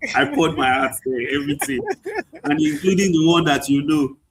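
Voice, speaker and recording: Using fairly even intonation, a man with a Nigerian accent and fairly high pitch talks at a moderate pace. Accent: Nigerian (Yoruba) English. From Nigeria, Ado Ekiti then Lagos. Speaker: chemical engineer and author. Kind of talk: interview.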